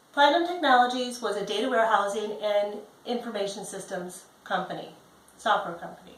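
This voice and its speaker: A woman with an American accent and lively intonation, amid audible room echo. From Chicago, US Midwest. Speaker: job applicant; presenter. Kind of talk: self-introduction video. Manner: direct. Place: home room. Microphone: camera far.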